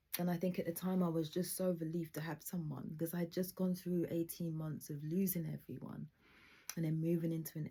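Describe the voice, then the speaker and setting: Her tone dark and mellow, a woman speaks at a moderate pace in a somewhat breathy, flat, monotone way. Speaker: video diarist sharing personal trauma. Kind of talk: personal testimony monologue. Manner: halting.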